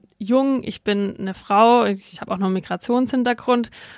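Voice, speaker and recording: A woman speaks at a moderate pace with fairly even intonation, in a dry, close sound with no echo. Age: 20s. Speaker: local councillor and student. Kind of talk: interview. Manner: hesitant with fillers.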